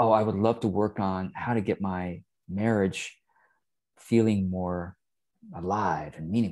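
Over a quiet background, a man with a normal speaking voice talks at a fairly slow pace, his fairly low pitch held to a fairly even intonation. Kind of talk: mentoring advice on a call. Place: home room. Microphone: earbuds.

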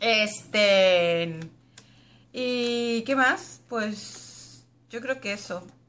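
Her intonation is lively and her pitch fairly high. The woman speaks at a very slow pace. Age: 30s. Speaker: YouTuber. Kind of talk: casual Q&A tag video. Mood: relaxed, chatty. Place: home room. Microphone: webcam.

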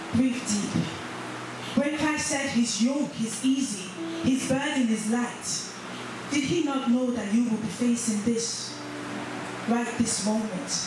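Strong room echo and noticeable background noise surround the recording. A woman speaks at a very slow pace. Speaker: church conference speaker. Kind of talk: spoken word piece delivered to a church congregation. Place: church.

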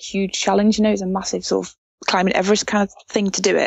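A woman speaks with an English accent. Her pace is very fast. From England. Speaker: motorcycle racer. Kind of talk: interview answer. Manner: passionate.

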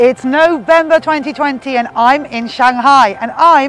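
Faint music can be heard in the background. A woman talks over it. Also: dry sound with no echo. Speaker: news correspondent. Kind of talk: news report to camera. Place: hall. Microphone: lapel.

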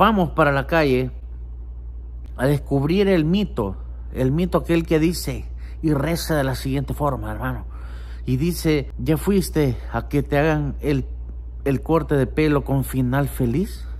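A man talks at a fairly slow pace with a Salvadoran accent. Long, frequent pauses break up his speech. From El Salvador. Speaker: vlogger. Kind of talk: casual vlog. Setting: outdoors on the street. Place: home room. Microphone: phone near.

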